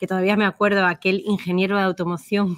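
A woman talks at a very fast pace in a medium-pitched monotone, the sound dry and close with no echo. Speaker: personal branding consultant. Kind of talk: interview.

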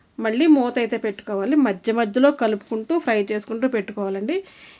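A woman with a fairly high pitch uses a normal speaking voice with ordinary pitch variation. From Andhra Pradesh. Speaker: cooking vlogger. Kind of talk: cooking tutorial. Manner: casual, chatty.

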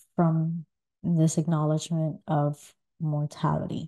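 A woman's very deep, low voice, dark and mellow and somewhat breathy, at a very slow pace over a quiet background. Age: 30s. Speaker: podcast host. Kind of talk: solo monologue. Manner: hesitant, many fillers. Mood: thoughtful, calm. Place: home room.

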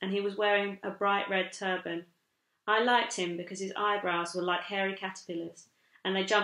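A natural reading voice with fairly even intonation, set against a quiet background.

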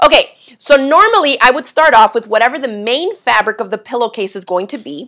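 Against a quiet background, a woman speaks at a high pitch in a bright, sharp tone. Her intonation is lively, and her loudness swings widely. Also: fairly quick pace. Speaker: sewing instructor. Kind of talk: live sewing tutorial. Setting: home sewing studio livestream. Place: home room.

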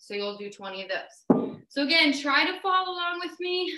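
The voice is raised and projected, upbeat, with a bright, sharp tone. Its pitch swings very widely at a moderate pace. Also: woman. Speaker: fitness instructor. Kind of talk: live workout class leading. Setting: live video stream. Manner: brisk, upbeat, encouraging cueing with countdowns. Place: home room. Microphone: webcam.

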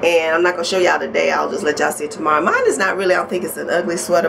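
A woman speaks over noticeable background noise. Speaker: vlogger. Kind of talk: casual vlog chat. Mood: warm, upbeat. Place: home room. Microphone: phone near.

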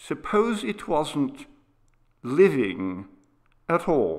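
In a very clean recording with a silent background, a man puts on a character voice that is shaky and fairly high, moving very slowly with very wide pitch swings. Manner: hesitant, unsettled.

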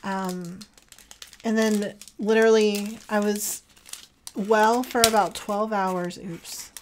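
Over light background noise, a woman talks at a very slow pace in a monotone, flat intonation with long, frequent pauses. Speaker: journaling content creator. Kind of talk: casual chat while crafting. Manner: casual, chatty. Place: home room.

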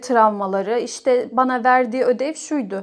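A high-pitched woman speaks at a moderate pace with fairly even intonation. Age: 30s. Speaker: person sharing own OCD recovery story. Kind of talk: testimony.

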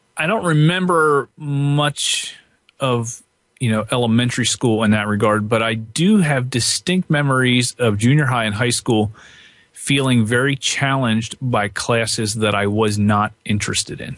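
A man speaks in a normal speaking voice with an American accent at a moderate pace. His pitch is medium, with ordinary pitch variation. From Pennsylvania, Lancaster County. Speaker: guitarist and guitar teacher. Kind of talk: interview.

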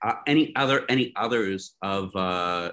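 With a Canadian accent, a man talks at a fairly low pitch. His tone comes across bright and sharp. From Canada, Niagara Falls, Ontario. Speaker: educator and meeting facilitator. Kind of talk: online group meeting. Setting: video call. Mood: friendly, relaxed. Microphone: video call.

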